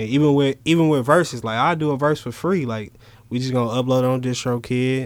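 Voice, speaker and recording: Medium pitch for a man, a fairly quick speed, and fairly even intonation. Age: 20s. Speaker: rapper. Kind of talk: casual chat.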